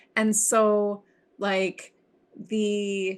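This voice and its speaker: In a Midwestern accent, a woman speaks at a medium pitch against a quiet background. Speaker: podcast co-host. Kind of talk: casual chat.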